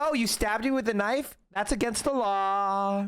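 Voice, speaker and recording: This is a put-on character voice, whiny and fairly high in pitch. It moves at a moderate pace. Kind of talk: mocking. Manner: smug, whiny, sarcastic.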